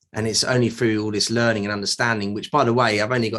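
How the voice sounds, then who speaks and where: This man speaks with a British accent. His intonation is monotone and flat. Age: 30s. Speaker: mental health advocate. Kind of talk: interview. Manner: halting.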